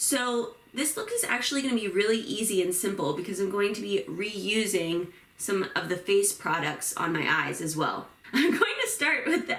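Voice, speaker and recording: Noticeable background noise runs under speech delivered at a moderate speed. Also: woman. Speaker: beauty and book vlogger. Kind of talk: get ready with me tutorial. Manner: casual, chatty.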